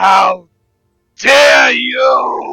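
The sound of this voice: A put-on character voice comes out shouting and bellowing.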